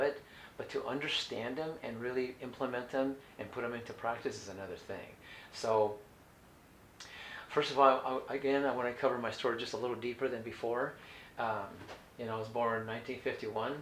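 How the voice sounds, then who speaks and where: A man with an American accent and fairly even intonation, heard with audible room echo. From California. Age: 60s. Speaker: raw food diet coach. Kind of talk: instructional talk. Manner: halting.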